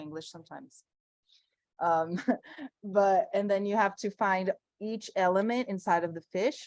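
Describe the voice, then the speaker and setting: With a Brazilian Portuguese accent, a woman speaks fairly slowly with ordinary pitch variation, in a dry, close sound with no echo. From Brazil, Sao Paulo. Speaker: environmental artist. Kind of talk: conversation.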